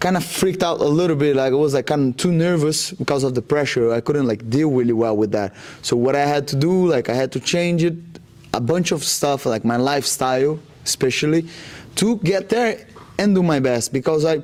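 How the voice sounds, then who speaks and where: Speaking with a Brazilian accent, a man uses a fairly high pitch and lively intonation at a fairly quick pace, his loudness very even. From Brazil, Rondônia. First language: Portuguese. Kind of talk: interview. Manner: halting, many fillers.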